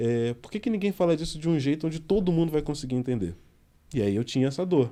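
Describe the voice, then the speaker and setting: Talking at a very fast pace, a man uses a fairly high pitch, a dark, mellow tone and lively intonation. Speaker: podcast host. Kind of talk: casual chat.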